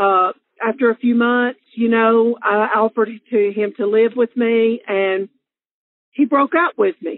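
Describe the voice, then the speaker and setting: With a Southern US accent, a woman speaks at a fairly slow pace in a fairly high voice with ordinary pitch variation. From Alabama, US South. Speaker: interviewee sharing love story. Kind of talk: personal storytelling. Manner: casual with many fillers.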